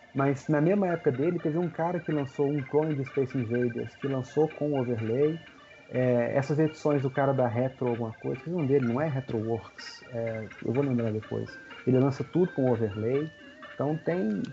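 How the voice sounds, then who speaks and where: A fairly high-pitched man's voice over noticeable background noise. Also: ordinary pitch variation, moderate pace. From Minas Gerais, Brazil (Belo Horizonte). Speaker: retro video game collector. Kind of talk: casual chat.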